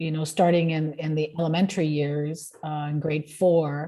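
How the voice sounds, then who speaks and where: A woman's very deep, low voice, dark and mellow in tone, somewhat breathy and monotone, at a fairly slow pace against a quiet background. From Sicily, Italy, then Canada from childhood. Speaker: realtor and author. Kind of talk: interview testimony. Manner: halting, many fillers.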